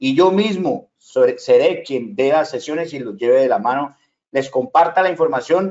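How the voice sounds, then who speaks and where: Over a quiet background, a man with a fairly high pitch talks at a moderate pace with lively intonation. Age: 40s. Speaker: online business trainer. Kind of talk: sales pitch. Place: home room.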